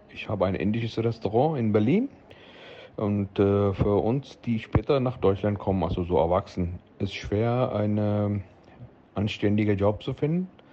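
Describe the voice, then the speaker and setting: Speaking fairly slowly, a man uses a fairly low pitch with ordinary pitch variation. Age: 40s. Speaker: restaurant owner. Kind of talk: interview. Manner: halting.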